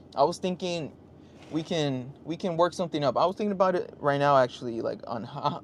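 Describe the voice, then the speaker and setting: An unremarkable speaking voice from a man, fairly high in pitch, fairly quick, with ordinary pitch variation. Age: 30s. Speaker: motorcycle vlogger and livestreamer. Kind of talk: casual livestream chat.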